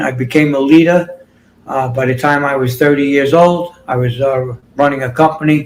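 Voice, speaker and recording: This man's voice is fairly high-pitched and somewhat breathy. He keeps a moderate pace with fairly even intonation. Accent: New York. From New York City. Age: 60s. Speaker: fitness and healing coach. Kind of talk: interview. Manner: halting.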